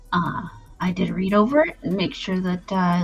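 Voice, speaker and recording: Music plays in the background as a woman speaks. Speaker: live streamer. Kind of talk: casual talk to stream audience.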